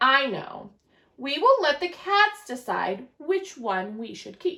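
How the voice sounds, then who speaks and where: A woman's high, put-on character voice at a fairly slow pace, with very wide pitch swings and big swings in loudness. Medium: read story.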